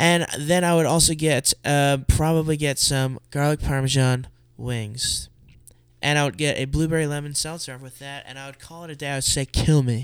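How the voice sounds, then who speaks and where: With an American accent and an ordinary speaking voice, a man talks at a moderate pace in a fairly high pitch with fairly even intonation, on a very clean recording with a silent background. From eastern Pennsylvania, Allentown. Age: 20s. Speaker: comic artist. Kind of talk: casual chat.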